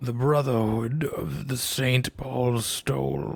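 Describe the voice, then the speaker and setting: A man does a put-on character voice at medium pitch, speaking at a very slow pace. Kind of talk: creepy, monstrous vampire voice. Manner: menacing.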